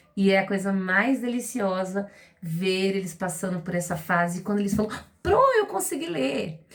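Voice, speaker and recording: A woman's somewhat breathy voice moves at a moderate pace and medium pitch. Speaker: literacy teacher. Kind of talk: educational talk to parents.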